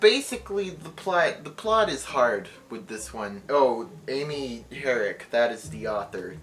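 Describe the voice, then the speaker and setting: Speech comes at a moderate pace, with noticeable background noise behind it. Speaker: booktuber. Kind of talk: casual book recommendation video. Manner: halting, self-correcting.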